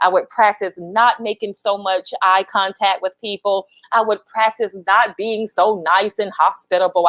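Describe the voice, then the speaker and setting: A woman with a Southern US accent at a fairly slow pace, the sound dry and close with no echo. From US South, Lower Alabama. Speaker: HR professional and speaker. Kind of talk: livestream talk. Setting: LinkedIn live video.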